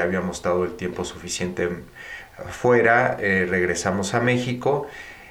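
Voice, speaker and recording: Over noticeable background noise and audible room echo, a man with a very deep, low pitch speaks at a fairly slow pace with ordinary pitch variation. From Mexico. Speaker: finance executive and entrepreneur. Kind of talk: interview.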